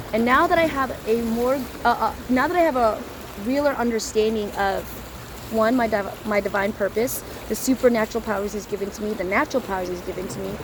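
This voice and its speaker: Against noticeable background noise, a woman speaks at a fairly quick pace, her fairly high pitch showing ordinary variation. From US Midwest, Chicago suburbs. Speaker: street preacher. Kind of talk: personal testimony.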